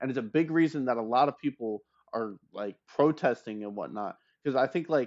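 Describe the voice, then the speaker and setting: Animated in tone, a man talks at a moderate pace and medium pitch with ordinary pitch variation. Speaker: streamer. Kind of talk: heated debate. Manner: halting.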